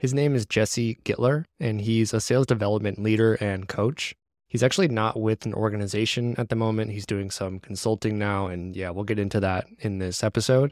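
A man with an unremarkable speaking voice, fairly low in pitch, at a fairly quick pace with hardly any pauses and fairly even intonation, in a dry, close, echo-free, very clean recording with a silent background. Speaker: podcast host. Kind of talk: casual interview.

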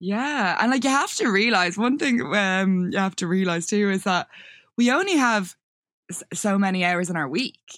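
A woman talks with lively intonation. Her voice comes through on a very clean recording against a silent background. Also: medium pitch for a woman, moderate pace. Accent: Irish. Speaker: photographer and videographer. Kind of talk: casual interview chat.

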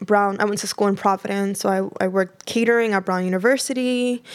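A woman speaks in a normal speaking voice with an American accent. Her pitch is medium, with ordinary pitch variation. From New York City, northern Manhattan (Dominican family). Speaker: food cooperative founder. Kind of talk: interview.

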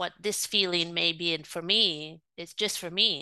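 Over a quiet background, a woman with a fairly low pitch and a bright, sharp tone talks at a fairly slow pace. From Rome, Italy. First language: Italian. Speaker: spiritual healer. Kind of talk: interview.

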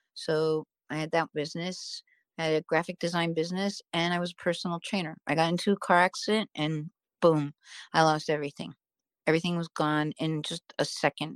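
An unremarkable speaking voice, a woman's, fairly low in pitch and fairly quick, with fairly even intonation, big swings in loudness, and a dry, close sound with no echo on a very clean recording with a silent background. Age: 50s. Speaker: writer and former actress. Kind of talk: casual chat.

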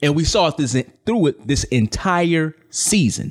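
Here a man talks at a fairly slow pace. He has an American accent. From Chicago. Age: 30s. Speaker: sports podcast co-host. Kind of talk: casual chat.

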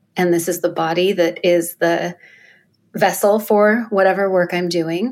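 A normal speaking voice from a woman, fairly low in pitch, fairly slow, with fairly even intonation, on a very clean recording with a silent background. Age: 50s. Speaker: photographer and coach. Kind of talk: casual chat.

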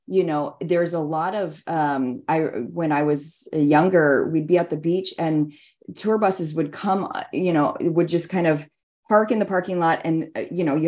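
The tone is dark and mellow. The pace is moderate. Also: woman. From Hawaii, Hilo. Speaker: novelist. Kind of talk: interview. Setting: video call. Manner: halting.

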